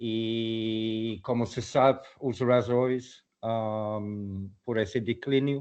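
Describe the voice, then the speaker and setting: Speaking very slowly yet with hardly any pauses, a man with a non-native accent uses a medium pitch and fairly even intonation. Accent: foreign accent in Portuguese. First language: English (speaking Portuguese). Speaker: conservation project leader. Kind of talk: lecture. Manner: halting.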